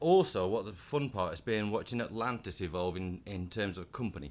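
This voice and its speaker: A man with a northern English accent. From northern England, Blackburn. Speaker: tech company engineer. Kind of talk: casual interview chat. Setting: conference venue.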